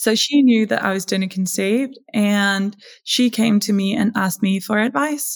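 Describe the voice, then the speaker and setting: With ordinary pitch variation and a moderate pace, a woman talks in a medium-pitched, somewhat breathy voice. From Denmark. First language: Danish. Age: 20s. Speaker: donor-conceived advocate. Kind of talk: interview.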